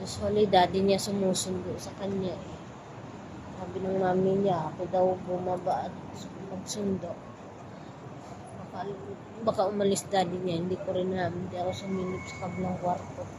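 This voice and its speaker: Medium-pitched female speech, monotone and flat, at a moderate pace with long, frequent pauses, amid noticeable background noise and audible room echo. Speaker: domestic helper and vlogger. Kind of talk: casual vlog monologue. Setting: outdoors at night, waiting outside.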